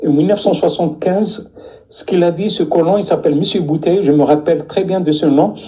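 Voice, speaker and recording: The voice moves at a fairly quick pace. Noticeable background noise runs underneath. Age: 60s. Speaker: deportation witness. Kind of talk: testimony. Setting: live stream. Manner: halting, many repetitions.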